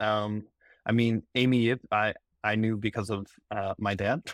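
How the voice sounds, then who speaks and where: Recorded very cleanly against a silent background, a man uses an ordinary speaking voice at medium pitch with fairly even intonation, the sound dry and close with no echo. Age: 30s. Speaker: data analyst, podcast guest. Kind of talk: casual chat.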